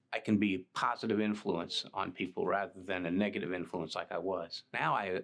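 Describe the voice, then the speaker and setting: Against a quiet background, a man talks with a Texan accent. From Texas, Dallas area. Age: 60s. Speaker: recovering addict. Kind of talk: testimony. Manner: halting.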